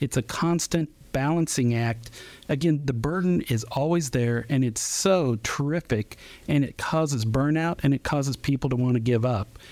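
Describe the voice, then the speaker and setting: At a moderate pace, a man with an unremarkable speaking voice and a fairly high pitch talks with ordinary pitch variation and very even loudness. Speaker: diabetes nurse educator. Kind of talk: radio interview. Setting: studio.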